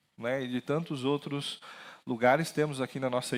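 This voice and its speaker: His voice sits fairly high. The audio is very clean, and the background is silent. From interior of São Paulo state, Brazil. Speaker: pastor. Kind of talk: sermon. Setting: church with PA system.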